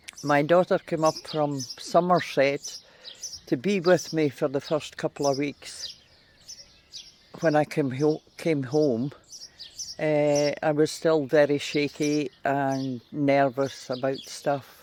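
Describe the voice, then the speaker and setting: Over noticeable background noise, a man speaks very slowly. His voice is fairly high, with fairly even intonation. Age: 70s. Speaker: community service user. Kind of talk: testimony.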